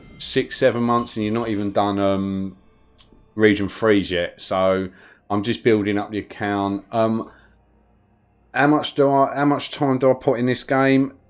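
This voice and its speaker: The speaker has a London accent and ordinary pitch variation, talking at a fairly slow pace with long, frequent pauses. Music plays in the background. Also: man, medium pitch for a man. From London, England. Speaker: gaming streamer. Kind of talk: live gameplay stream chat. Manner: casual, with frequent fillers.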